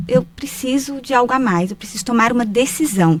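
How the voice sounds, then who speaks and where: Her pitch leaps through very wide swings as this woman speaks. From Brazil, Minas Gerais (Paracatu). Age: 30s. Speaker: writer, speaker and mentor, former bank manager. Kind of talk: podcast interview.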